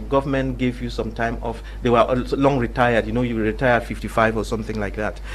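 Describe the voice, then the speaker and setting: Noticeable background noise sits under this clip. A man talks at a very fast pace. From Cameroon. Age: 60s. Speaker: panelist. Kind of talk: panel debate. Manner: halting, many repetitions.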